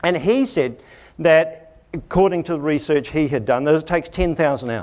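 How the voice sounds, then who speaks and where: Someone with a New Zealand accent speaks at a moderate pace with very wide pitch swings, on a very clean recording with a silent background. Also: man. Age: 50s. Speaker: education consultant. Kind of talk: conference talk. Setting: stage with audience.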